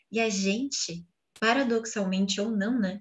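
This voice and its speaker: Over a quiet background, a woman talks in a Brazilian accent with a somewhat breathy voice. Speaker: co-teacher reading the text aloud. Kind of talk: reading aloud and commenting in a class. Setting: video call, poor connection. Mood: calm, reflective. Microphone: video call.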